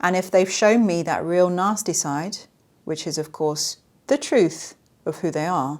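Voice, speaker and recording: In a very clean recording with a silent background, a woman with an unremarkable speaking voice talks at a fairly low pitch and fairly slow pace, with ordinary pitch variation. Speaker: survivor advocate and comedy skit creator. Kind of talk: podcast monologue.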